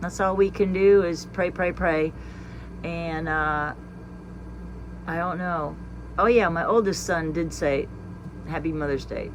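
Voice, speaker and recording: Audible room echo surrounds a woman speaking at a fairly slow pace with long, frequent pauses. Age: 60s. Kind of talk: casual monologue. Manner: halting.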